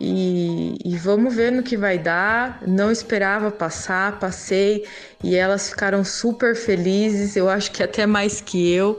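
Amid audible room echo, a woman at medium pitch speaks at a very slow pace, with very even loudness and fairly even intonation. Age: 30s. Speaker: single mother and pedagogy student. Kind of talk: casual interview testimony.

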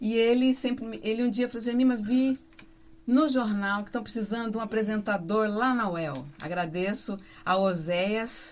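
Ordinary pitch variation in a woman's fairly high-pitched voice. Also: moderate pace. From Paraná, Brazil (Mamborê, near Campo Mourão). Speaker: radio announcer and singer. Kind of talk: casual interview. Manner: talkative.

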